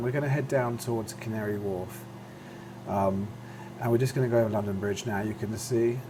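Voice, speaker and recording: A man speaks at a medium pitch and a fairly quick pace with fairly even intonation. Noticeable background noise and audible room echo come through. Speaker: flight sim video creator. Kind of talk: gameplay commentary. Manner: casual, many fillers.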